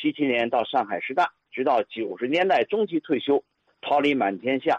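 In a dry, close recording with no echo, a man with a normal speaking voice talks at medium pitch and a moderate pace with ordinary pitch variation. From Tianjin, China. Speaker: physical education teacher and listener. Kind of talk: storytelling reminiscence.

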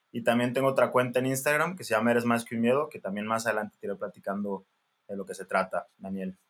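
A man talks at a very fast pace in a medium pitch. His loudness swings a lot while his pitch varies in an ordinary way. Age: 20s. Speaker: general practitioner doctor. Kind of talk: casual interview.

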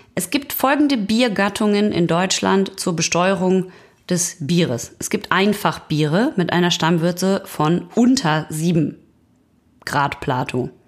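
A woman talks very slowly on a very clean recording with a silent background. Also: fairly low pitch for a woman. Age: 40s. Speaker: podcast co-host. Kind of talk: reading aloud; casual chat. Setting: home recording.

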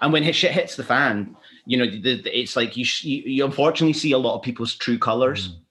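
A man with a Glasgow accent talks at a fairly quick pace, his medium-pitched voice bright and sharp, with ordinary pitch variation. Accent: Scottish (Glasgow). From Scotland, Glasgow. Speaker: photographer. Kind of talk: casual chat.

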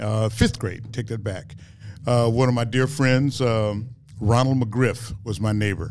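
Speaking with fairly even intonation, a man's voice carries audible room echo. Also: medium pitch for a man. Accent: American. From Dallas, Texas. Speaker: musician. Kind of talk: interview. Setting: studio.

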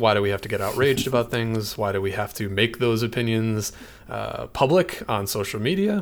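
A man's unremarkable speaking voice with an American accent, a medium pitch, ordinary pitch variation and a moderate pace. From Michigan. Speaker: podcast host, web developer. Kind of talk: casual chat.

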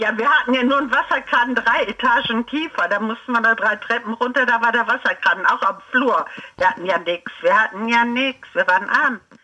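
A woman with a fairly high pitch and ordinary pitch variation talks over noticeable background noise. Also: moderate pace. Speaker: relative of host. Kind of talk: casual chat.

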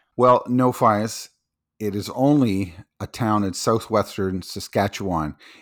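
A man with a Canadian accent talks at a fairly slow pace in a normal speaking voice, on a very clean recording with a silent background. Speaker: podcast co-host. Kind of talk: casual comedic banter.

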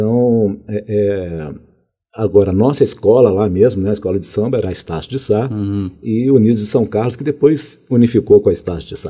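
The man speaks at a moderate pace and a fairly low pitch, with a dark, mellow tone. His loudness swings widely, in a very clean recording with a silent background. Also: ordinary pitch variation. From Minas Gerais, Brazil (Contagem; early childhood in Rio de Janeiro). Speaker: college director and administration professor. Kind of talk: interview conversation.

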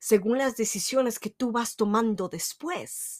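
Recorded very cleanly against a silent background, a woman speaks. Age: 30s. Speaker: podcast host, self-help speaker. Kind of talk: motivational monologue.

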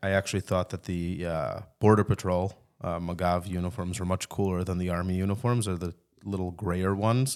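A man with a very deep, low pitch talks at a fairly quick pace with fairly even intonation, recorded very cleanly against a silent background. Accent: Chicago. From US Midwest (Chicago). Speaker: army veteran. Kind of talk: casual chat. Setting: studio.

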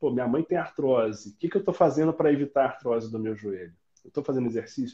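At a very fast pace, a man talks with medium pitch, ordinary pitch variation and a dark, mellow tone. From southern Minas Gerais, Brazil (Itajubá). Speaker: orthopedic doctor. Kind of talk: interview.

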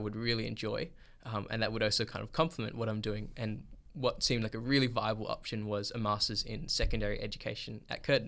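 Over a quiet background, a man with an Australian accent speaks very fast in a bright, sharp tone with fairly even intonation. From Perth, Australia. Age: 20s. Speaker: filmmaker and photographer. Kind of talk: interview.

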